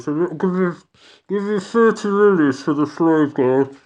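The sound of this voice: A croaky, put-on character voice at a middle pitch speaks at a fairly slow pace. The background is quiet.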